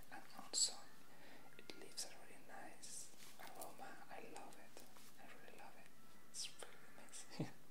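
A man speaks with long, frequent pauses. Loud background noise runs underneath. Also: moderate pace. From Mexico. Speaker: ASMR creator. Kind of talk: ASMR rambling to camera. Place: home room. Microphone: earbuds.

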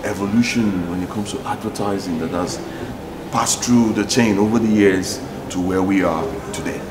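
The speech moves at a fairly quick pace with fairly even intonation. Background noise is noticeable. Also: man. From Nigeria. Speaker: TV talk show host. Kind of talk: interview. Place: studio.

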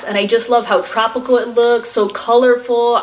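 A woman speaks at a moderate pace in a high voice. Light background noise is present. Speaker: unboxing vlogger. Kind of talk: casual vlog chat. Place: home room. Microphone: camera far.

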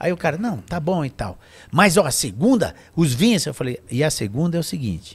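This man's fairly high voice swings very widely in pitch, carries vocal fry, and moves at a moderate pace. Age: 60s. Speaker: wine association director; podcast guest. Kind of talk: casual chat. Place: studio. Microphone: studio mic.

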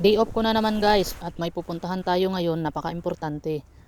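With fairly even intonation, a woman speaks in an ordinary speaking voice on a very clean recording with a silent background. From Philippines. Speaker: vlogger, migrant factory worker. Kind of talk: casual vlog narration. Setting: outdoors. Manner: soft-spoken.

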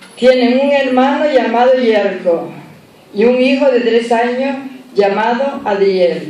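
A woman speaks at a very slow pace in a high voice with ordinary pitch variation. Audible room echo surrounds her. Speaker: presenter introducing the festival speaker. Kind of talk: formal introduction speech read aloud. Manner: informal, hesitant with fillers. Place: hall. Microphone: podium.

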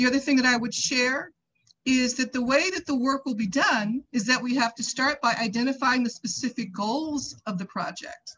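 A woman's high voice in an American accent, at a moderate pace with ordinary pitch variation. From US Midwest. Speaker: community advocate with doctorate. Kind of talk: public testimony. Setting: video call. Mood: earnest, persuasive. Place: home room.

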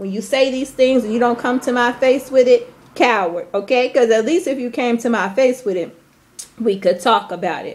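High pitch from a woman, ordinary pitch variation, and a moderate pace. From US Midwest, Chicago. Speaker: vlogger and teacher abroad; vlogger, teacher abroad. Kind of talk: angry rant vlog. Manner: emphatic, repeated okay. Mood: angry, hurt, confrontational. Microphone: phone near.

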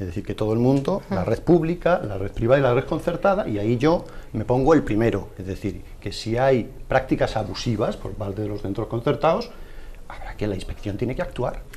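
A man speaks at medium pitch. His pace is fairly quick and his intonation lively. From Spain, Puertollano; Spain. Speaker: education magazine editor; panelist. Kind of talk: televised debate. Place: studio. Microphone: lapel.

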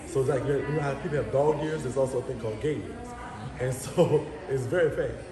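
A fairly high-pitched man talking very fast, with noticeable background noise. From New Orleans, Louisiana (7th Ward). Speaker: social media personality. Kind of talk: casual chat. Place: home room.

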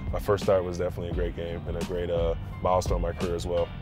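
Against clear music in the background, a man with a very deep, low pitch talks at a very fast pace with ordinary pitch variation, the sound dry with no echo. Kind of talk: interview answer. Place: car.

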